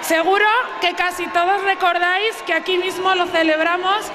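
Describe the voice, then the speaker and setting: Speaking at a moderate pace in an extremely high, raised, projected voice, a woman keeps her loudness very even and her intonation monotone and flat amid noticeable background noise. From Spain. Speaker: town councillor for festivities. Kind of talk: public speech from a town hall balcony. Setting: outdoors, PA system. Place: street. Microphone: podium.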